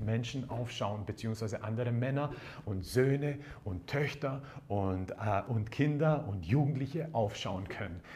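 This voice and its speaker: The speaker talks at a fairly slow pace with lively intonation and an animated tone. Audible room echo and noticeable background noise come through. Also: man. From Croatian background. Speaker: pastor. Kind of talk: sermon.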